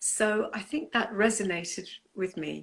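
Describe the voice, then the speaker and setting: The speaker is a woman with a British accent. The recording is very clean, with a silent background. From England, came from Punjab, India at nine. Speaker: artist. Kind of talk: interview.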